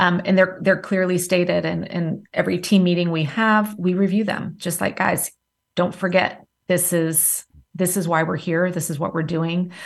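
A woman with a slight Southern US accent talks at a moderate pace and fairly low pitch. Her intonation is monotone and flat, and her voice is somewhat breathy. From various places, military family (Marine Corps father). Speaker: entrepreneur, time management coach. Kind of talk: interview.

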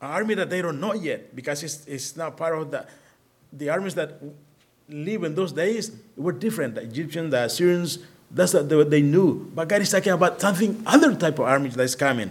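A man in a Spanish accent, high in pitch, at a fairly quick pace with ordinary pitch variation. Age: 50s. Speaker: missionary at a children's home. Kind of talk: sermon. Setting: church.

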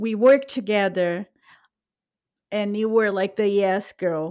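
A woman talks at a fairly slow pace with a Brazilian accent. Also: very clean recording, silent background. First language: Portuguese. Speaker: podcast host. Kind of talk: casual chat. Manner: playful, laughs often.

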